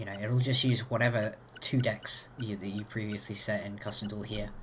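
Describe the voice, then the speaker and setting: This man's pitch is fairly low, and he moves at a fairly quick pace. Everything he says comes out monotone and flat. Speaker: gaming video creator. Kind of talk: tutorial. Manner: casual, hesitant with fillers.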